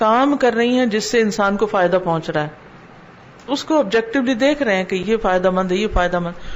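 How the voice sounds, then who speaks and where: A woman's fairly high voice carries through noticeable background noise. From Pakistan. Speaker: Islamic scholar and preacher. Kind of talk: religious lecture (dars) in Urdu.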